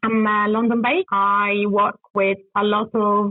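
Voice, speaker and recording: A woman speaks at a fairly slow pace in a fairly high voice, with an Italian accent. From Italy. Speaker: construction technology consultant. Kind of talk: interview. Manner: hesitant, many fillers.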